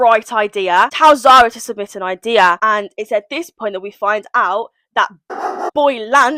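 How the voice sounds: A natural reading voice comes through with a quiet background.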